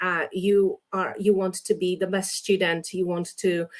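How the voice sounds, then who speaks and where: A woman with a Polish accent and medium pitch. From Poland. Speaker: English teacher, exam expert. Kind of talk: interview, giving advice. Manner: many fillers (um, uh).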